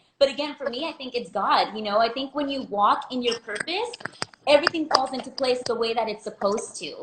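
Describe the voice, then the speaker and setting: Bubbly in tone, a woman talks fast-ish at a high pitch with ordinary pitch variation and big swings in loudness, against noticeable background noise. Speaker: small business owner. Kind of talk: interview.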